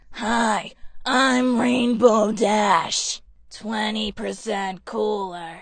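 Using a put-on character voice, a woman speaks raspy and fairly high in pitch at a very slow pace.

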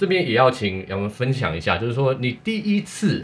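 A man talks at a fairly quick pace. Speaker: sports show host. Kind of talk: hosted sports talk show. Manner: animated.

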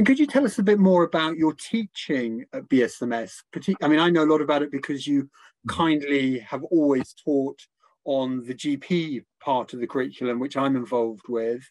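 A man with a normal speaking voice talks at a moderate pace, fairly high in pitch with ordinary pitch variation. The sound is dry and close with no echo, over a quiet background. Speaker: medical lecturer acting as interviewer. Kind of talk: interview conversation. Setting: online webinar with audience.

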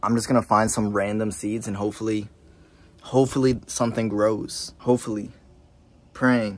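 A man with a fairly low pitch speaks at a moderate pace, leaving long, frequent pauses. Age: 20s. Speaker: YouTuber; vlogger. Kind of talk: casual vlog narration; casual vlog chat. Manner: animated. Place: garage. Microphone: phone near.

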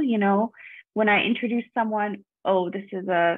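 Against a quiet background, a woman speaks at a fairly slow pace in a dry sound with no echo. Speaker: event participant; online event host or interviewer. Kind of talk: casual discussion. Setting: video call. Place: home room. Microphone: earbuds.

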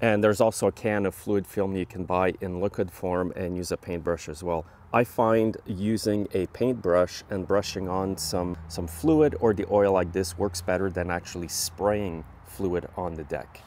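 A man speaks fairly slowly at a low pitch, with a slightly mellow tone and fairly even intonation. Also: few pauses.

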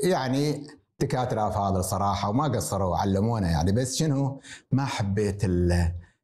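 A man speaks at a fairly slow pace with a fairly low pitch and a dark, mellow tone. His voice is somewhat breathy, with lively intonation and very even loudness. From Kuwait, Jleeb Al-Shuyoukh; Kuwait. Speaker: retired surgeon and hospital director; interview guest. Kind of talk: interview. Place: home room. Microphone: lapel.

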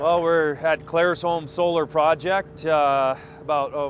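A man with fairly high pitch speaks at a very slow pace with monotone, flat intonation. Noticeable background noise can be heard. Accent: American. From US South, Houston, Texas. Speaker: construction entrepreneur. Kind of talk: interview. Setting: outdoors at solar construction site. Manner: hesitant, many fillers.

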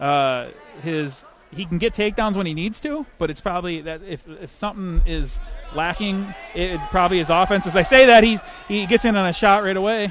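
An energetic man with a high voice swings widely in loudness and uses ordinary pitch variation, in a dry sound with no echo and light background noise. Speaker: sports commentator. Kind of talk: live sports commentary, play-by-play of a wrestling match. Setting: broadcast from college gym with crowd. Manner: rapid, clipped play-by-play calls; energetic, friendly banter.

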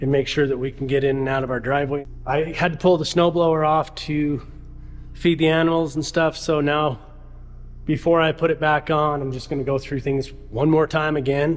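The delivery moves at a moderate pace with monotone, flat intonation. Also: man. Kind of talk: casual vlog chat. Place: garage. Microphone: phone near.

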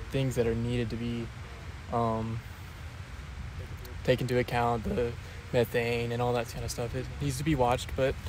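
A man talks at a moderate pace with ordinary pitch variation and long, frequent pauses, in a dry sound with no echo and noticeable background noise. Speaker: interviewee. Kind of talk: interview answer. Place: open country. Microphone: handheld.

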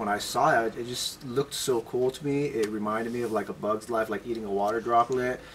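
With ordinary pitch variation, a man talks over light background noise. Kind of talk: interview answer. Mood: relaxed, friendly.

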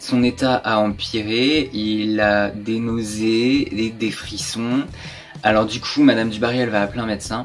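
Faint music plays in the background. Over it, a man speaks at a very slow pace. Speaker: history storyteller. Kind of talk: casual history storytelling vlog. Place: home room.

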